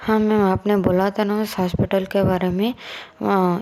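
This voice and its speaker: Over noticeable background noise, a woman speaks at a fairly slow pace and medium pitch, her intonation monotone and flat. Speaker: storyteller. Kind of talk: reading a story aloud.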